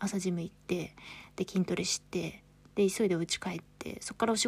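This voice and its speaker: On a very clean recording with a silent background, a woman with vocal fry speaks at a medium pitch and a moderate pace. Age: 30s. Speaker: podcast host. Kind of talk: casual monologue. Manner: chatty, frequent fillers.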